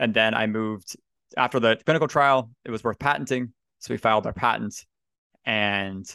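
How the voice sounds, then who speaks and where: In a Canadian accent, a man with an unremarkable speaking voice and medium pitch talks at a moderate pace with ordinary pitch variation, the sound dry and close with no echo against a quiet background. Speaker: board game designer. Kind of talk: casual interview chat.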